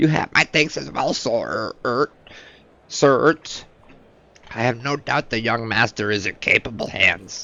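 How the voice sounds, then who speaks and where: A man's put-on character voice at a medium pitch, fairly slow, with long, frequent pauses. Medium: video game. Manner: deferential, formal.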